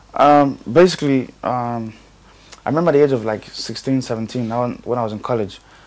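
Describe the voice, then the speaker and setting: Over noticeable background noise, a man with a medium pitch talks at a moderate pace with ordinary pitch variation. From Nigeria, then North London from about age ten. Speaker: singer. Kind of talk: interview. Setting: in Dublin. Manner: halting, many fillers.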